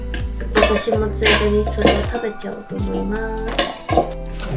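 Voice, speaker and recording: Loud music plays in the background. A woman speaks over it. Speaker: mother vlogger. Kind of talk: casual vlog chat. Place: kitchen.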